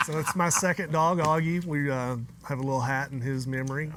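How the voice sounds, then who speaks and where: Audible room echo surrounds a man with a medium pitch and an American accent. His pace is moderate and his pitch variation ordinary. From US South, northeast Arkansas. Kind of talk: casual chat. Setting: studio with live audience.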